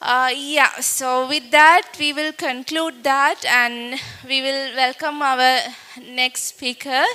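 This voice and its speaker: A woman with a Tamil accent speaks in a raised, projected voice at a high pitch and a very slow pace, with fairly even intonation. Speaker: event host. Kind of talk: event hosting. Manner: halting.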